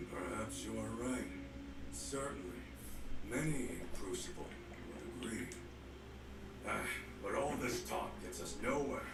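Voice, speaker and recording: A put-on character voice comes through with a slight echo. Loud background noise sits underneath. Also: man, very deep, low pitch for a man, moderate pace. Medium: game stream. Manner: commanding, terse.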